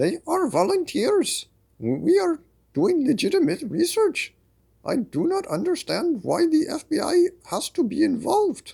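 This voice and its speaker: A man puts on a character voice with an extremely high pitch. It sounds shaky and moves at a moderate pace. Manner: frustrated.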